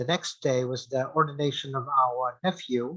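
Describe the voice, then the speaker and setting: Against a quiet background, the voice has a bright, sharp tone, fairly even intonation and a moderate pace. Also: man. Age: 60s. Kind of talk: interview. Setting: video call. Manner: hesitant, many fillers.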